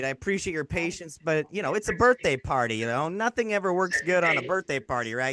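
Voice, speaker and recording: Over music in the background, a man with a high voice talks at a very fast pace, the sound dry and close with no echo. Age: 40s. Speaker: online business coach and event host. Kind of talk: live webinar presentation. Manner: energetic.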